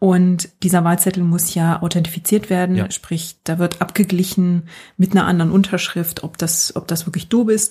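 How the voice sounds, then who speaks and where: A woman's somewhat breathy, dark, mellow tone at a fairly low pitch, monotone and flat in intonation, at a moderate pace. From Germany. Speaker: podcast guest living in the US. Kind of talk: casual chat.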